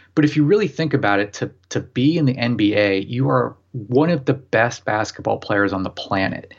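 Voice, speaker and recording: At a moderate pace and medium pitch, a man speaks in a normal speaking voice with lively intonation against a quiet background. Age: 30s. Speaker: novelist. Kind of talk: casual chat.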